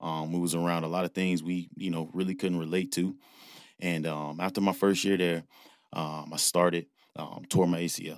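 Very deep, low-pitched male voice with an American accent, monotone and flat, at a moderate pace on a very clean recording with a silent background. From Ohio. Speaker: high school football coach. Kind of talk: interview. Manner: halting, many fillers.

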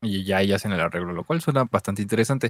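A man in a Mexican accent, lively intonation, and a dry, close sound with no echo. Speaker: podcast co-host. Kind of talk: casual chat.

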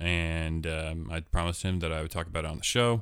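In a very clean recording with a silent background, a man with an American accent speaks very fast in a very deep, low pitch. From US Pacific Northwest (Portland, Oregon). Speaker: podcast host. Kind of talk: casual chat.

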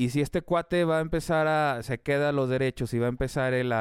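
The speaker goes at a fairly quick pace with ordinary pitch variation. The recording is very clean, with a silent background and a dry, close sound with no echo. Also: man. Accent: Mexican. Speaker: podcast co-host. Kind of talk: casual chat.

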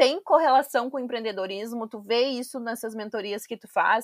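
A woman's high voice at a moderate pace, with ordinary pitch variation and a dry, close sound free of echo, over a very clean, silent background. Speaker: podcast host. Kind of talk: casual interview.

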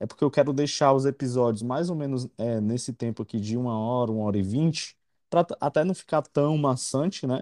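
Against a quiet background, a man with a dark, mellow tone speaks at medium pitch and a moderate pace with ordinary pitch variation, the sound dry and close with no echo. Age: 30s. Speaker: podcast host. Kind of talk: casual interview.

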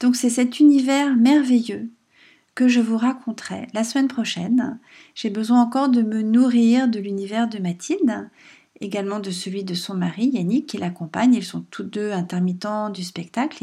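Over a very clean recording with a silent background, a woman speaks at a fairly slow pace in a dark, mellow, gentle, calm tone that is somewhat breathy and fairly high pitched, with ordinary pitch variation. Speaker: podcast host and writer. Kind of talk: casual monologue. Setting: at home.

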